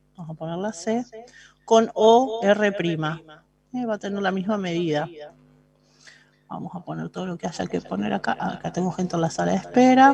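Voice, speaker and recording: A woman speaks at a medium pitch with a dark, mellow tone and lively intonation. Her loudness swings widely, and she takes long, frequent pauses. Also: moderate pace. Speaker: math teacher. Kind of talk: lecture.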